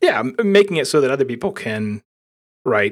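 A normal speaking voice at a moderate pace on a very clean recording with a silent background. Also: man. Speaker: software developer, creator of a blogging framework. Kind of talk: casual tech interview.

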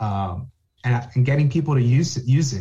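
With an American accent, a man talks at a moderate pace and medium pitch in a dark, mellow, somewhat breathy tone. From New Jersey, North Bergen (Hudson County). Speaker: conservation scientist. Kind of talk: interview.

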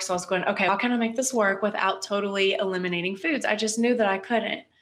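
With ordinary pitch variation, the talking moves at a very fast pace. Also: woman. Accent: American. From West Virginia. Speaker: dietitian. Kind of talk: casual interview chat.

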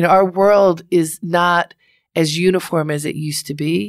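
In a very clean recording with a silent background, a woman with an American accent and a plain, everyday voice talks fairly slowly at a medium pitch with ordinary pitch variation. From Baltimore, Maryland. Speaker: advice columnist and radio host. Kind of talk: interview.

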